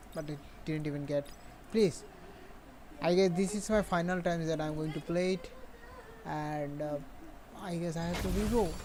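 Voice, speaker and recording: Delivery is fairly slow. A non-native accent colors the speech. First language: not English. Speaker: gaming streamer. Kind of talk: live game stream commentary. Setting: live stream at home. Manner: halting.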